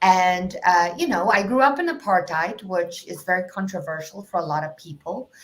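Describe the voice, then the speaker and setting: A woman's medium-pitched voice with lively intonation and big swings in loudness, at a moderate pace with hardly any pauses. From South Africa, Cape Town. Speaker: life coach. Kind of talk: podcast interview.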